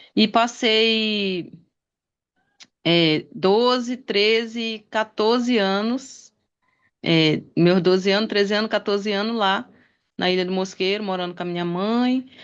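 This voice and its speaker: Against a quiet background, a woman speaks at a very slow pace and medium pitch, with ordinary pitch variation and long, frequent pauses. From Pará, Brazil (Belém area). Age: 40s. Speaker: interview guest. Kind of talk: interview.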